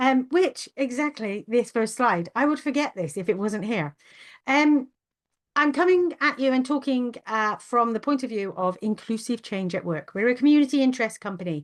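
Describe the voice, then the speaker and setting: A woman speaks at a high pitch and a moderate pace. Her intonation is lively. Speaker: webinar host, neurodiversity consultant. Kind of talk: webinar presentation. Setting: video call webinar.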